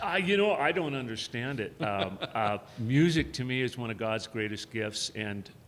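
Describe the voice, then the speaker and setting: Here is a man with an American accent and an ordinary speaking voice. He talks at a medium pitch and a fairly slow pace. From Montana. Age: 60s. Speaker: country singer and rancher. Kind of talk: casual interview chat.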